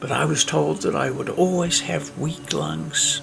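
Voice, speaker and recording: Fairly slow speech from a man, music playing in the background. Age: 80s+. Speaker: documentary filmmaker. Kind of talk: personal narration over breathing exercise.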